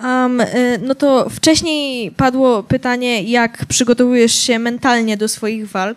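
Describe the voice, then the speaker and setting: A woman speaks very slowly in a high pitch with fairly even intonation. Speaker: youth council moderator. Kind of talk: public talk interview. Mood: hesitant, polite. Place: stage. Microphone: handheld.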